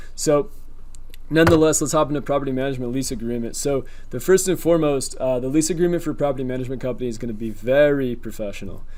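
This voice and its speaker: Talking at a very fast pace, a man has a fairly high pitch with ordinary pitch variation. There is audible room echo and noticeable background noise. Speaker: YouTuber teaching rental arbitrage. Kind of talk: tutorial. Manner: casual with many fillers.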